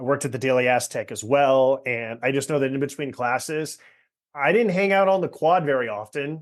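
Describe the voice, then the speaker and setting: In a quiet background, a man with an unremarkable speaking voice talks at a fairly quick pace, his fairly high pitch showing ordinary variation. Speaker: podcast host. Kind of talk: casual podcast conversation.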